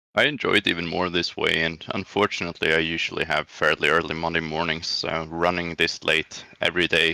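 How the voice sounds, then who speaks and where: Speaking quickly in a Swedish accent, this man has a very deep, low pitch, a bright, sharp tone, flat monotone intonation and a dry, close sound with no echo. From Sweden. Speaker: sim racing driver. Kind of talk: post-race interview.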